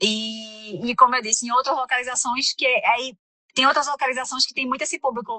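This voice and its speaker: With a Recife accent, a woman talks at a fairly quick pace in a high voice with ordinary pitch variation. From Brazil, Recife (Pernambuco). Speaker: immigrant community center counselor. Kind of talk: podcast interview. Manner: halting, many fillers and restarts.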